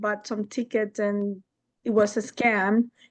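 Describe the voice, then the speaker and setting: Speaking very slowly, a woman talks with a Spanish accent. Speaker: audience member. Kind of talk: audience question. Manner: halting.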